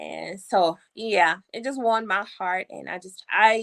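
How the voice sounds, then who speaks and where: A woman with an American accent speaks in a bright, sharp tone and monotone, flat intonation, in a dry, close sound with no echo. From US South. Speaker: hair braider and mother. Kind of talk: casual chat.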